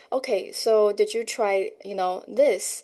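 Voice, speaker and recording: A woman is speaking. She has a Chinese accent. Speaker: educator and homeschool parent. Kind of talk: podcast interview.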